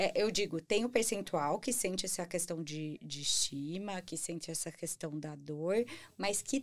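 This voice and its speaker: The speech runs at a fairly slow pace with ordinary pitch variation. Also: woman. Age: 30s. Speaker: podcast host. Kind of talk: casual interview. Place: studio. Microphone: studio mic.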